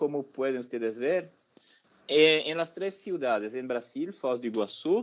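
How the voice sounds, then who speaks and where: Speaking at a fairly slow pace with a Brazilian accent, a man uses a fairly high pitch and very wide pitch swings. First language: Portuguese (speaking Spanish). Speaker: professor. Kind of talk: lecture. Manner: hesitant, with fillers.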